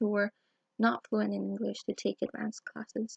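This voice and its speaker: A woman at a fairly quick pace, in dry, close sound with no echo. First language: Spanish. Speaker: student teacher. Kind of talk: personal video blog.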